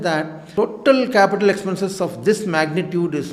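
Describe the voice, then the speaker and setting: A man's high-pitched voice with an Indian accent, ordinary pitch variation, and noticeable background noise. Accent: Indian English (Tamil). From India, rural Tamil Nadu. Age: 60s. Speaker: cardiologist and hospital director. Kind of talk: interview. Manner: hesitant, many fillers.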